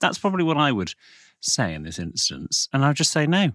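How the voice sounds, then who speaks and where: Recorded very cleanly with a silent background and a dry, close sound lacking echo, a man speaks in a Received Pronunciation accent with a bright, sharp tone. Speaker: podcast co-host. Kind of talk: casual chat. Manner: formal, old-fashioned BBC-style delivery.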